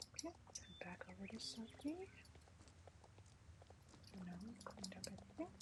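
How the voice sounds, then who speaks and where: Soft-spoken and at a moderate pace, a woman talks with long, frequent pauses over noticeable background noise. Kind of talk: ASMR gaming let's play, casual commentary.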